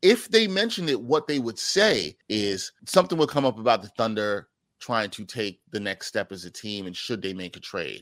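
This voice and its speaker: On a very clean recording with a silent background and a dry, close sound with no echo, a man of medium pitch speaks at a moderate pace with very wide pitch swings and big swings in loudness. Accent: New York. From Brooklyn, New York City. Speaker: sports journalist and radio anchor. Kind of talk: casual chat.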